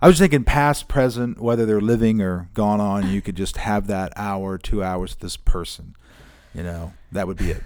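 A man's unremarkable speaking voice, fairly low in pitch, with ordinary pitch variation at a moderate pace, in a very clean recording with a silent background. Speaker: podcast host. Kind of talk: interview. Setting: church.

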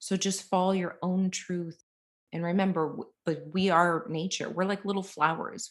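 A plain, everyday voice from a woman, fairly low in pitch with fairly even intonation and a moderate pace, on a very clean recording with a silent background. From US Northeast, Boston. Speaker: psychic medium. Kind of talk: interview.

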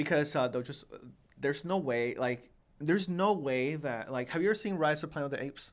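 On a very clean recording with a silent background, a man with a plain, everyday voice talks at a fairly quick pace and a fairly high pitch. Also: ordinary pitch variation. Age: 20s. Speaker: podcast host and actor. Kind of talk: casual chat.

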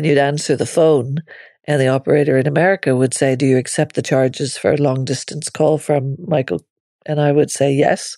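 With a Northern Irish accent, a woman speaks at a fairly quick pace. Her pitch is very deep and low, and her loudness stays very even. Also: fairly even intonation, very clean recording, silent background. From Northern Ireland. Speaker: podcaster. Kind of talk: personal memoir monologue.

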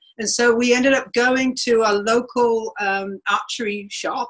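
This woman's voice sits at a fairly high pitch. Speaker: riding instructor and mounted archer. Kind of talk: casual interview.

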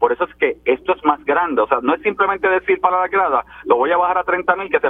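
Against noticeable background noise, a man with a high pitch talks in an animated tone at a very fast pace with ordinary pitch variation. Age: 50s. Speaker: legislator. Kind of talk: political panel discussion.

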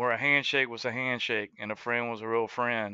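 Recorded dry and close with no echo against a quiet background, a man speaks in a bright, sharp tone at medium pitch, with monotone, flat intonation at a moderate pace. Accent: Southern US. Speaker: country singer and entrepreneur. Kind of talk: radio interview, casual chat.

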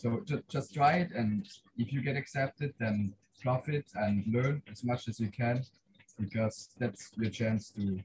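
A man speaks fairly slowly at a medium pitch with ordinary pitch variation, his voice somewhat breathy. The sound is dry and close, with no echo. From Switzerland. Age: young. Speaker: life science student, mission medical officer. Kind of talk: casual chat. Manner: halting.

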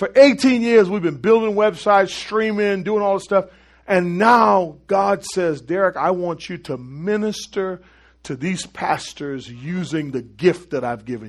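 A man with an American accent speaks fairly slowly in an animated tone, his high voice swinging widely in loudness. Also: lively intonation, quiet background. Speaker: pastor. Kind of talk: sermon.

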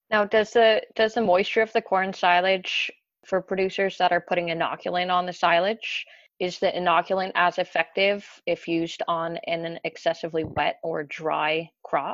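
Speaking in a Canadian accent, a woman uses an ordinary speaking voice at medium pitch. Her pace is moderate and her intonation fairly even. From Ontario, Canada. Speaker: dairy specialist. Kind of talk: podcast interview.

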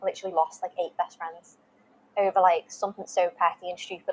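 With a British accent, a woman talks at a moderate pace in a medium pitch, her intonation monotone and flat, the sound dry and close with no echo. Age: 20s. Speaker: wellness page creator sharing mental health story. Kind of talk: personal testimony in interview. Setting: video call.

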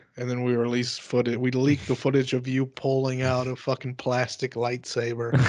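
Speaking at a moderate pace with hardly any pauses, a man keeps a medium pitch and monotone, flat intonation over noticeable background noise. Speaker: podcast co-host and comedian. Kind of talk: casual chat.

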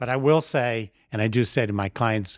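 An unremarkable speaking voice from a man, fairly low in pitch with ordinary pitch variation, on a very clean recording with a silent background. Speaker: podcast host and art advisor. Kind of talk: casual interview conversation.

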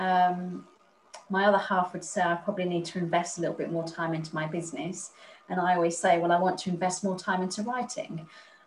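This woman talks very fast, her pitch fairly low and her intonation fairly even. Noticeable background noise runs underneath. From Spain. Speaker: author. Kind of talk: interview.

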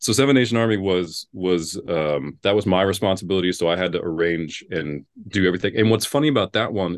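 Against a quiet background, a man talks at a moderate pace in a very deep, low voice. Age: 40s. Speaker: a cappella bass singer. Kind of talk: interview. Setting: video call.

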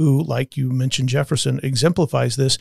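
Recorded very cleanly with a silent background and a dry, close sound with no echo, a man speaks in a normal speaking voice, fairly high in pitch with fairly even intonation. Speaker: podcast host. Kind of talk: casual discussion of a book.

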